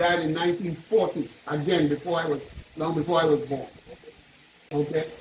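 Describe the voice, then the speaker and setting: Over noticeable background noise, a man with a Trinidadian accent speaks at a high pitch. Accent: Trinidad and Tobago English. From Tobago, Trinidad and Tobago. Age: 70s. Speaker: visitor tracing his ancestry. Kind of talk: storytelling to elders. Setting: meeting at a chief's palace.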